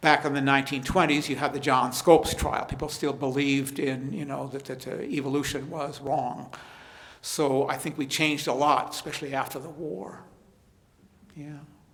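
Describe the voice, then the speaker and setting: The delivery is monotone and flat at a moderate pace, with big swings in loudness and noticeable background noise. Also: man, fairly high pitch for a man. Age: 70s. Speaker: history professor. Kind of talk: lecture Q&A. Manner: halting, repeats words.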